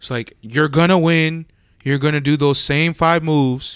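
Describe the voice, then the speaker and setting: An American-accented man speaks at a moderate pace with a fairly high pitch. The recording is very clean, the background silent. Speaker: podcast co-host. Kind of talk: casual banter. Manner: casual, profane.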